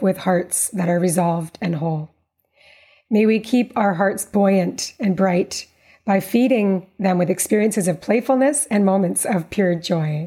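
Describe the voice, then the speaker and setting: Somewhat breathy with a dark, mellow tone, a woman speaks at a medium pitch and a fairly slow pace with ordinary pitch variation. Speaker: podcast host. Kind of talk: interview, conversational.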